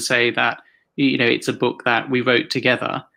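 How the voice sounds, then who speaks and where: A man's bright, sharp tone with a British accent, at a moderate pace, in a very clean recording with a silent background. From Hong Kong. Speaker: author and activist. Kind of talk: interview. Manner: halting, many repetitions and fillers.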